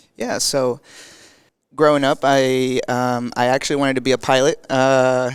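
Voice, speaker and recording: A man with a Spanish accent. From Mexico, then Nebraska, US. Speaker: physical therapy student. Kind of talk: podcast interview. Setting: conference. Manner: halting, many fillers.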